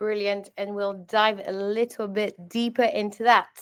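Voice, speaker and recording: This voice carries a British accent. The delivery is fairly slow. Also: woman. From France and England. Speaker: webinar host, customer success manager. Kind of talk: webinar moderation.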